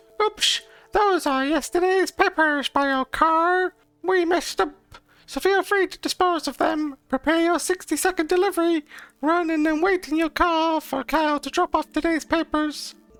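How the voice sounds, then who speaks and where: A woman's squeaky, put-on character voice at a moderate pace, dry and close with no echo, over music in the background. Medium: game stream.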